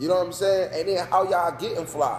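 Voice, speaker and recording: Noticeable background noise accompanies a man talking high in his range. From North Carolina (New Bern). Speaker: business owner. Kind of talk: casual interview. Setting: sports bar. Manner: loud.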